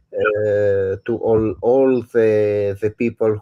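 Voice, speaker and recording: A man with an Italian accent and a fairly low pitch speaks at a very slow pace in a monotone, flat intonation, the sound dry and close with no echo against a quiet background. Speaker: photographer and livestream host. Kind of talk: interview. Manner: halting.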